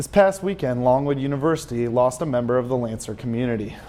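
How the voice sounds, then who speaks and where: A man talks at a medium pitch with ordinary pitch variation over noticeable background noise. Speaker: news and sports reporter. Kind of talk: broadcast news reporting. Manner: clear, professional news anchor delivery.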